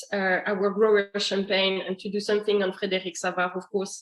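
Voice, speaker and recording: The speaker is a woman. Her words carry a French accent. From France. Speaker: master sommelier and wine importer. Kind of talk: online wine tasting presentation. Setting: online video session with screen share. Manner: hesitant, many fillers.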